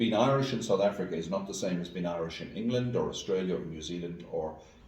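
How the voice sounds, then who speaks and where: A man talks very fast at a fairly low pitch with ordinary pitch variation, with audible room echo and noticeable background noise behind him. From rural west of Ireland. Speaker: school executive and educator. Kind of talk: interview conversation. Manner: hesitant, many fillers and repeats.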